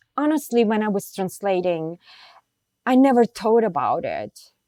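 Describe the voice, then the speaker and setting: A woman speaks with a dark, mellow tone at a fairly slow pace. Her pitch swings very widely. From Bulgaria and Istanbul, Turkey. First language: Bulgarian and Turkish. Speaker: literary translator and professor. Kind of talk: interview. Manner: hesitant, with many fillers.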